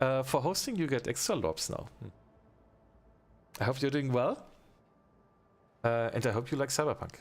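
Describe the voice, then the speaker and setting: A man speaks at a moderate pace with a medium pitch. His pitch varies in an ordinary way, and he takes long, frequent pauses. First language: not English. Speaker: gaming streamer. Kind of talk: live game stream chat. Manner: halting.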